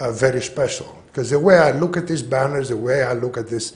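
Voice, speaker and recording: A man at medium pitch, somewhat breathy, with ordinary pitch variation and audible room echo. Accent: Greek. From Greece. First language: Greek. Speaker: public commenter. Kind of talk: public comment at council meeting. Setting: city council meeting.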